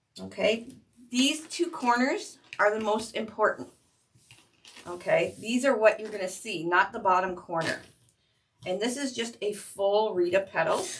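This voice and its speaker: Fairly high-pitched and somewhat breathy, a woman speaks at a fairly slow pace with lively intonation and long, frequent pauses. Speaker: craft tutorial host. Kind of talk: tutorial. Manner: casual, chatty.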